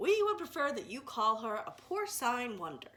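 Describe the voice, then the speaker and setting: Using a put-on character voice, a woman speaks high at a moderate pace with very wide pitch swings. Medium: read story. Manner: formal, grandiose phrasing.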